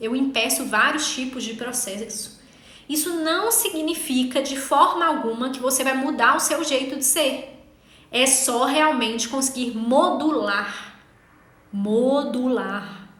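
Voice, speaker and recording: Very slow speech from a woman, high-pitched, with ordinary pitch variation. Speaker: legal writing instructor. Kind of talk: online class. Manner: incisive.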